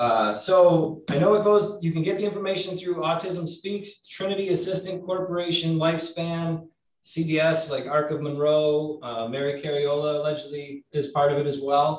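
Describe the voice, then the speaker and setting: A man speaks at a moderate pace with hardly any pauses, in a plain, everyday voice. His pitch is fairly high, with ordinary pitch variation. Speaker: law enforcement officer. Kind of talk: panel discussion.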